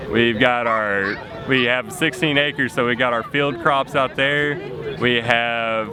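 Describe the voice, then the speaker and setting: Fairly slow speech in a Texan accent, with very even loudness, ordinary pitch variation, and noticeable background noise. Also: man, medium pitch for a man. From Texas. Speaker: homesteader. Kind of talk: casual chat.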